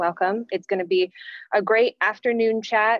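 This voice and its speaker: A woman speaks at a fairly slow pace with fairly even intonation. The sound is dry with no echo, against a quiet background. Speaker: webinar host. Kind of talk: event host introduction. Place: home room. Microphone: webcam.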